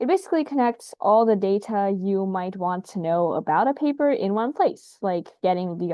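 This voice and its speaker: At a medium speed, a woman talks in an ordinary speaking voice. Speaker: science youtuber. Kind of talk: casual explainer video. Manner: casual, with filler words.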